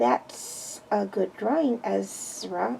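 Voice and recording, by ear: A woman's raspy, hissing put-on character voice at a medium pitch, over clear background noise.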